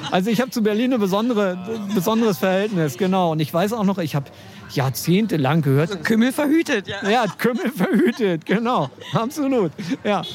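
A man's high voice, fairly quick and lively in intonation, over noticeable background noise. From Schleswig-Holstein, Germany. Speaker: online journalist and columnist. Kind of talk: casual interview chat. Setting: outdoors in front of a cafe.

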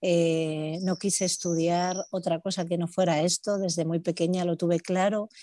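In a dry, close recording with no echo, a woman speaks at a fairly slow pace, her fairly low voice dark and mellow with monotone, flat intonation. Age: 40s. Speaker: hairdresser and salon owner. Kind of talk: casual interview.

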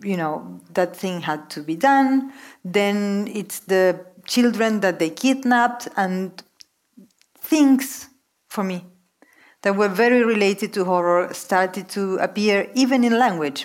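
Speaking at a fairly slow pace, a woman with a Spanish accent shows ordinary pitch variation. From Argentina. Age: 40s. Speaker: novelist. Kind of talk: onstage literary conversation. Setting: stage with audience.

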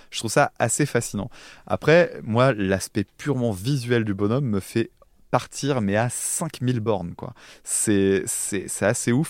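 Speaking very slowly, a man uses a medium pitch and ordinary pitch variation. The recording is very clean, with a silent background. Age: 30s. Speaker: music podcaster. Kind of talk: casual chat. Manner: halting.

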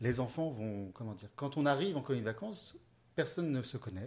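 His intonation is lively. The man is somewhat breathy and talks at a fairly quick pace. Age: 30s. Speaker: youth holiday camp developer. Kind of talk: interview.

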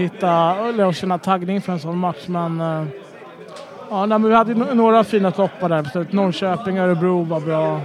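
Crowd noise fills the background as a man talks in a high pitch. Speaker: football supporter. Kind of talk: casual chat.

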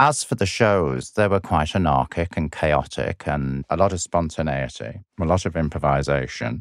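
In a very clean recording with a silent background, a man with a Lancashire accent speaks at a very deep, low pitch with vocal fry, lively intonation and hardly any pauses. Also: moderate pace, dry, close sound with no echo. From northwest England, Blackpool. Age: 50s. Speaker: performance artist. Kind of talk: interview storytelling.

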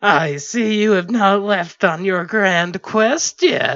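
This put-on character voice is nasal, sits at a middle pitch and moves at a very slow pace.

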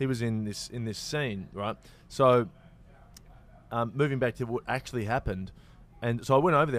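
A man with an Australian accent delivers his words at a fairly quick pace. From Australia, Victoria. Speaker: actor and comedian. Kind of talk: casual chat.

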